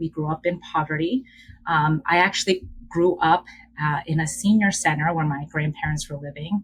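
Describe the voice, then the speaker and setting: A woman with a Korean accent sounds somewhat breathy, her pitch fairly low. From Philadelphia, US (Upper Darby area). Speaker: educator and DEI leader, podcast guest. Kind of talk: casual interview, personal storytelling.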